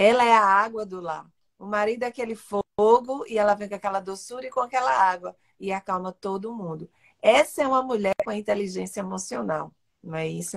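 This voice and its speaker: A woman with a plain, everyday voice, medium pitch and ordinary pitch variation talks at a fairly quick pace with big swings in loudness, the sound dry and close with no echo. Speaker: podcast host. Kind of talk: casual interview.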